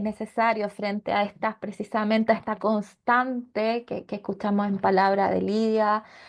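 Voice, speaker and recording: A woman speaks with a Chilean accent and a fairly high pitch. Her intonation is monotone and flat against a quiet background. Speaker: seminar panelist. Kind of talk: seminar talk. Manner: halting, many fillers and repetitions.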